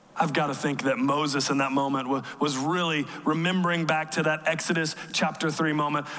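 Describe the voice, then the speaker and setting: Against noticeable background noise, a man with a fairly high voice talks at a fairly quick pace in a monotone, flat intonation and very even loudness. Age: 30s. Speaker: pastor. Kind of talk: sermon. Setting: church.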